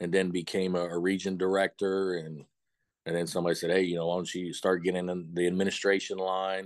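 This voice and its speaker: A man with an American accent speaks at a fairly quick pace in a very deep, low pitch. The background is quiet. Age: 50s. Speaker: high school football coach. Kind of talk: casual interview. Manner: animated.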